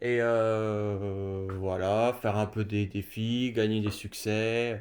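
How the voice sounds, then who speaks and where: A man's fairly low voice in a flat monotone, on a very clean recording with a silent background. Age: 20s. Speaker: gaming youtuber. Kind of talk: casual gameplay commentary. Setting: at home in his gaming room. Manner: halting, many fillers.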